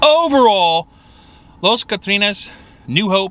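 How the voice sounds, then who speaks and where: Pitch swings very widely as a man talks at a fairly slow pace in a dry sound with no echo and light background noise. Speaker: food reviewer. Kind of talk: casual vlog chat. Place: car. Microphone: phone near.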